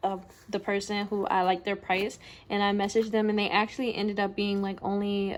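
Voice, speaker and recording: A woman has an unremarkable speaking voice with a medium pitch and fairly even intonation. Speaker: small business owner vlogger. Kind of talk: casual vlog tutorial.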